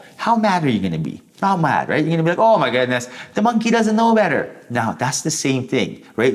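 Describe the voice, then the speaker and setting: A man talks very fast in an animated tone, his pitch swinging very widely. Noticeable background noise runs underneath. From war-torn country, came as refugee. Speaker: tarot reader. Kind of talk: tarot reading monologue.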